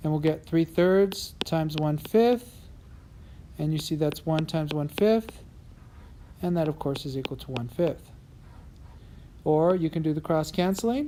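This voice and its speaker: A woman speaks with a very deep, low pitch and a dark, mellow tone. Her pitch varies in an ordinary way, with long, frequent pauses. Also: fairly slow pace. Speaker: teacher. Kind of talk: tutorial.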